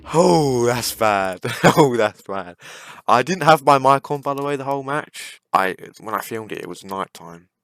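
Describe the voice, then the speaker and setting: Recorded with a dry, close sound and no echo, a man with a British accent talks at a medium pitch and moderate pace, with lively intonation and big swings in loudness. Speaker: gaming YouTuber. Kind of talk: gameplay commentary rant.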